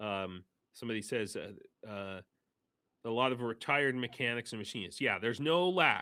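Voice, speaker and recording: Speaking at a moderate pace, a man has a fairly low pitch, a bright, sharp tone and lively intonation. The recording is very clean with a silent background. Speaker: volunteer supplying vehicles in Ukraine. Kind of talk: live stream interview. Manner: halting, many fillers and restarts; gestures with hands while talking.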